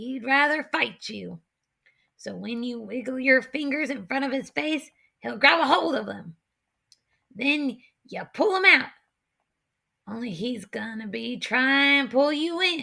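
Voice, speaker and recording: A woman puts on a raspy character voice, pitched high, with lively intonation and big swings in loudness. She speaks at a fairly slow pace, leaving long, frequent pauses. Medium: read story. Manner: folksy backwoods drawl.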